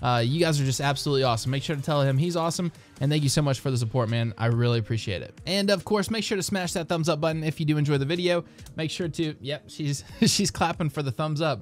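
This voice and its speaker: A man talks at a very fast pace with a fairly high pitch and ordinary pitch variation while music plays in the background. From US South, southern West Virginia. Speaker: YouTube TV-show commentator. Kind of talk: casual vlog commentary. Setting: home recording with child on lap.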